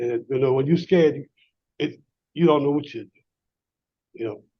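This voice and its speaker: Somewhat breathy and medium in pitch, a man's voice holds a fairly even intonation. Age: 60s. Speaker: inmate's uncle, supporter. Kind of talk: testimony. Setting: parole board hearing. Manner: halting.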